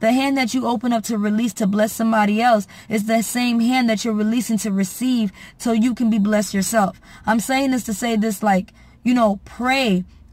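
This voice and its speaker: Her voice is fairly high in pitch and somewhat breathy, with monotone, flat intonation. The woman keeps a moderate pace in a dry sound with no echo. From Haitian American. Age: 20s. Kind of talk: casual talk to camera. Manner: earnest, preachy. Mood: earnest, warm, preachy. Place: car. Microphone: phone near.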